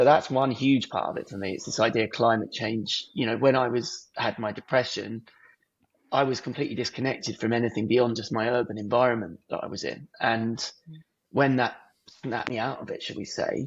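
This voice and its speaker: A man talks at a fairly quick pace with an English accent. His intonation stays fairly even. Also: medium pitch for a man. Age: 30s. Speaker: artist and filmmaker. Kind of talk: podcast interview.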